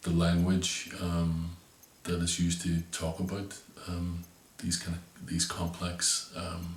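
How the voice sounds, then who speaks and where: Noticeable background noise surrounds a man with a Northern Irish accent whose very deep, low voice moves at a very slow pace in a monotone, flat intonation. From Northern Ireland. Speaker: visual artist. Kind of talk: interview answer explaining his artwork. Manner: hesitant, thoughtful, many fillers.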